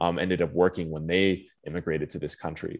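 A man speaks at a fairly quick pace with a Southwestern US accent. His intonation is fairly even, and the background is quiet. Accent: general American, Southwest. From Phoenix, Arizona. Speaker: marine conservation policy advocate. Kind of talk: casual interview. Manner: fluent, filler-heavy.

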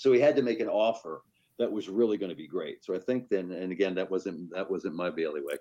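Speaking at a fairly quick pace, a man uses a plain, everyday voice with a fairly low pitch and ordinary pitch variation. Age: 60s. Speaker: newspaper managing editor. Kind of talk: interview.

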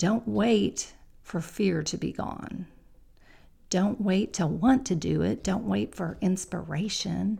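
A voice with a dark, mellow tone and vocal fry moves at a very slow pace, its intonation lively throughout. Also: woman. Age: middle-aged. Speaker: podcast host, goal-setting coach. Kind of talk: motivational talk. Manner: softer than usual.

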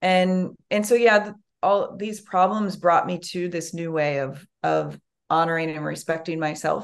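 A woman talks in a normal speaking voice at a fairly low pitch. Her pace is fairly slow, and her pitch varies in an ordinary way. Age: 30s. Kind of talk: casual interview chat. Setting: video call.

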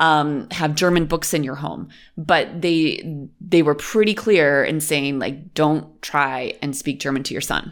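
With a western New York accent, a woman speaks fairly slowly in a very deep, low voice, with fairly even intonation and hardly any pauses, on a very clean recording with a silent background. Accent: American, western New York. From Western New York, US. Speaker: podcast host, expat parent. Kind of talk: casual chat.

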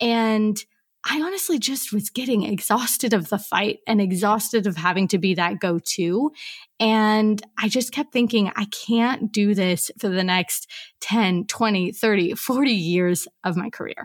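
A woman with a plain, everyday voice and an American accent talks at a fairly slow pace, her fairly high pitch showing ordinary variation. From US Pacific Northwest (Portland, Oregon). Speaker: copywriter and business consultant. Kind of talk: podcast interview.

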